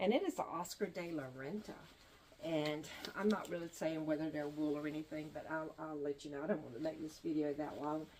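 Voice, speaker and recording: Someone with a North Carolina accent talks at a fairly quick pace with fairly even intonation over noticeable background noise. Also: woman, very deep, low pitch for a woman. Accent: US Southern (North Carolina). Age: 70s. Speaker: online reseller vlogger. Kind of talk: casual vlog talk. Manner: relaxed, with frequent fillers.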